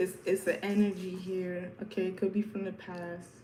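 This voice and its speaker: A woman with an American accent at a moderate pace, flat and monotone, amid noticeable background noise and audible room echo. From New York. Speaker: tarot reader. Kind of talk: live stream tarot reading. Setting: live stream at home. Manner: casual, repetitive.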